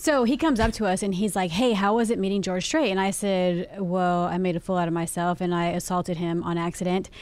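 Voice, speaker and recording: A woman talks in an ordinary speaking voice at medium pitch with ordinary pitch variation. Her pace is fairly quick, her loudness very even, with hardly any pauses. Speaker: radio host. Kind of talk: casual banter.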